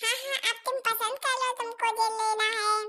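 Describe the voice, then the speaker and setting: A put-on character voice with monotone, flat intonation and very even loudness. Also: woman, extremely high pitch for a woman, moderate pace. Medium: solo performance. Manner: calm, reassuring.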